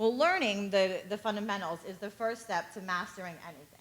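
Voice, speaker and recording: A woman with a plain, everyday voice speaks at a moderate pace and a medium pitch. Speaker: tutor. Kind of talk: talk to parents at a community session.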